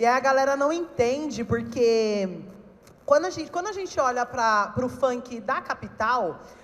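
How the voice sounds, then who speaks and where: A woman with a high pitch uses lively intonation as she talks at a fairly slow pace. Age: 30s. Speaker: funk cultural organizer, panelist. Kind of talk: panel talk.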